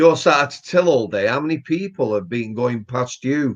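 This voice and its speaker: A man with a Yorkshire accent talks at a moderate pace, his fairly high voice carrying lively intonation. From Yorkshire, England. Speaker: retired prison officer and author. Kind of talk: interview answer.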